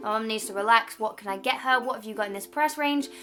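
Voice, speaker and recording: A woman with a southern English accent, fairly high pitch and fairly even intonation at a very fast pace, with music in the background. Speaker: YouTuber. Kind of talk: vlog.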